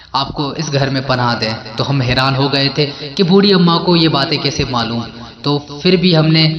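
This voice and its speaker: Noticeable noise sits behind a male speaker whose pitch varies in an ordinary way. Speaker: voice-over narrator. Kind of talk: horror story narration.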